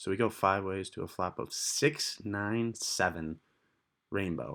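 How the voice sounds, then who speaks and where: Against a very clean recording with a silent background, a man with a plain, everyday voice speaks fairly slowly at a fairly low pitch with ordinary pitch variation. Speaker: poker vlogger. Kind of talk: voiceover commentary on hands.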